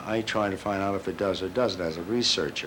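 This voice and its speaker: At a moderate pace, a man talks while noticeable noise runs in the background. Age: 60s. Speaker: crystal researcher and teacher. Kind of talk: interview testimony. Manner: casual, hesitant with fillers.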